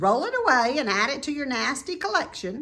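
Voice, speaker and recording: A female-sounding voice is pitched high in a put-on character voice. The pace is fairly quick. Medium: read story. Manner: repeats words, chattering.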